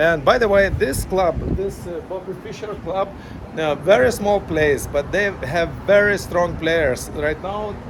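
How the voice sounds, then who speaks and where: The speech comes at a fairly slow pace with ordinary pitch variation. There is noticeable background noise and audible room echo. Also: man, high pitch for a man. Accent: non-native. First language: not English. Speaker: chess parent vlogger. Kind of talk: casual vlog monologue. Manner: halting, many fillers.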